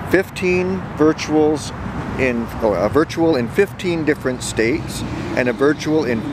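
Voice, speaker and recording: A man speaks against noticeable background noise. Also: dry sound with no echo. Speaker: geocaching vlogger. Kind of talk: casual vlog chat. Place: open country. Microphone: phone near.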